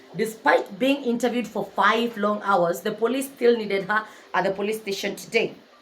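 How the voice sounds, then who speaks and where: A woman's fairly high voice, fairly quick and animated, over noticeable background noise. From Kenya. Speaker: book narrator and YouTuber. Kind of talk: storytelling retelling of a novel. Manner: loud.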